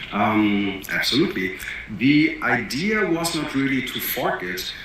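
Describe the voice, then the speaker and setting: A man with a German accent speaks at a very slow pace. Audible room echo and noticeable background noise are present. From Germany. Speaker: entrepreneur and crypto project founder. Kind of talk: interview. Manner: hesitant, many fillers.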